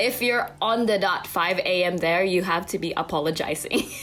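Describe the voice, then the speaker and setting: The speech moves at a moderate pace with ordinary pitch variation against noticeable background noise. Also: woman. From Philippines. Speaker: actress. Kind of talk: interview. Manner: frequent fillers like 'like', 'um', 'you know'.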